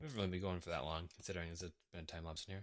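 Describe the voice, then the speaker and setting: Very deep and low, this man's pitch sits far down. The recording is very clean, with a silent background. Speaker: gaming video creator. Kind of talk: gameplay commentary. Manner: fast.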